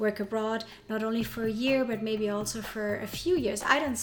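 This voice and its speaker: Against noticeable background noise, a woman with a German accent talks at a moderate pace in a fairly high pitch. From Germany. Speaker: advertising managing director. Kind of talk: interview. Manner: halting, many fillers.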